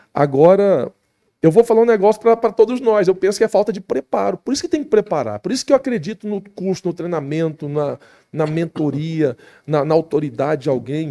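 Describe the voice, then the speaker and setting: A man's fairly high, dark, mellow voice with very wide pitch swings at a fairly quick pace, dry and close with no echo. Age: 40s. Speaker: pastor. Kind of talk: podcast interview.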